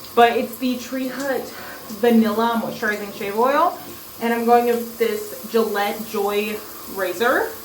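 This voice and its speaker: Over noticeable background noise and audible room echo, a woman talks at a fairly slow pace. Her pitch is fairly high and her intonation fairly even. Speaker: beauty vlogger. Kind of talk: casual vlog tutorial.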